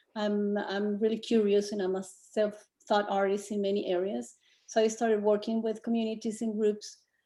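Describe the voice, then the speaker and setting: A woman with a Spanish accent, dark, mellow tone and monotone, flat intonation. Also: medium pitch for a woman, moderate pace. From Colombia. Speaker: community artist. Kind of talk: presentation in online meeting. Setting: video call.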